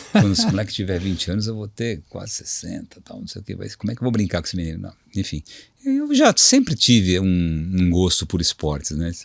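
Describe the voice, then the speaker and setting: Very clean, with a silent background, the recording captures a man. He speaks at a fairly quick pace. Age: 60s. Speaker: HR director. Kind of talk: interview. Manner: hesitant, repeats words.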